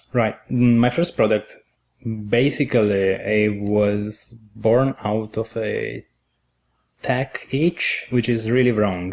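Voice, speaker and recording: Very slow speech from a man with an Italian accent, fairly even intonation. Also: medium pitch for a man. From Italy. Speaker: software engineer. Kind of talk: podcast interview answer.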